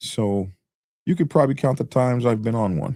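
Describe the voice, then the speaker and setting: A man with a dark, mellow tone, lively intonation and a moderate pace. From US, Army brat, mainly Oklahoma. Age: 60s. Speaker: motorcycle YouTuber, biker. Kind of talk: interview.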